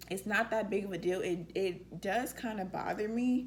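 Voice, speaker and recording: A woman's somewhat breathy voice carries ordinary pitch variation. Audible room echo surrounds it. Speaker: vlogger. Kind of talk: casual q&a vlog.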